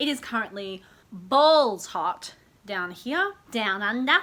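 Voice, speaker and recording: A woman's bright, sharp tone with an Australian accent and lively intonation. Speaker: lifestyle YouTuber. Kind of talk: casual vlog talk to camera. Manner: animated.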